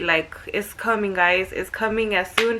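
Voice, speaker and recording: A woman speaks in a fairly high pitch. Noticeable background noise runs behind her. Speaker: vlogger. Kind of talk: casual chat. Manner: fast; animated.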